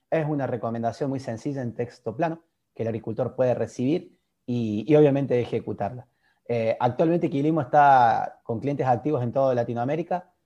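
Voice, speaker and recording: A man's medium-pitched, dark and mellow voice with an Argentine accent, fairly quick in pace, against a quiet background. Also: ordinary pitch variation. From Argentina. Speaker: agtech startup founder. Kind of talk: interview. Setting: video call.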